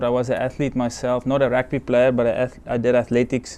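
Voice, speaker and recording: Speaking with a South African accent, a man keeps a moderate pace. His voice has a medium pitch. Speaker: sports team doctor. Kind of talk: interview. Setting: stage with audience.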